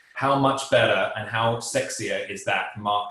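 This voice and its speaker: With an English accent, a man talks at a medium pitch and a fairly slow pace with fairly even intonation, amid audible room echo and noticeable background noise. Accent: English accent, kept despite years abroad. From England. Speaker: business professor. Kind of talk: webinar lecture. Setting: online webinar.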